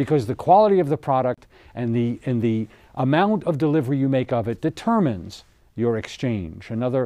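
A man with a dark, mellow tone talks at a fairly quick pace. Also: quiet background. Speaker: TV show host. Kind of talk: seminar lecture. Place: studio.

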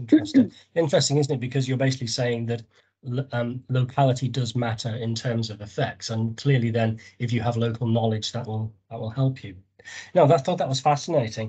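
At a fairly quick pace, a man speaks with a dark, mellow tone, fairly even intonation and a somewhat breathy quality. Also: quiet background. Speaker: academic discussant. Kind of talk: academic discussion. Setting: video call. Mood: interested, polite. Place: home room. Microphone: video call.

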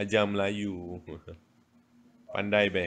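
Over light background noise, a man talks in a fairly low voice. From Malaysia. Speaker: social media livestreamer. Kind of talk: casual chat. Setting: livestream. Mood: playful, teasing. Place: home room. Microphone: phone near.

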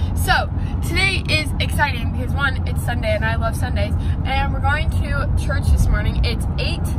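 Over loud background noise, a woman speaks at a fairly slow pace with ordinary pitch variation, in dry sound with no echo. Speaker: lifestyle vlogger. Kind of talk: casual vlog chat. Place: car. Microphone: phone near.

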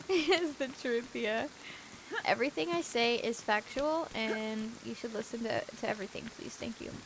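With noticeable background noise behind her, a woman speaks at a moderate pace in a fairly high voice with lively intonation. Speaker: gaming streamer. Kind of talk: casual chat. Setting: live stream.

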